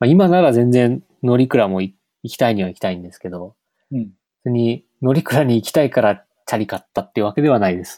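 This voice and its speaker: A man speaks at a fairly quick pace with lively intonation and big swings in loudness, his medium-pitched voice dark and mellow in a dry, close sound with no echo. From western Gifu, Japan. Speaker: software developer, conference organizer. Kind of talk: casual chat.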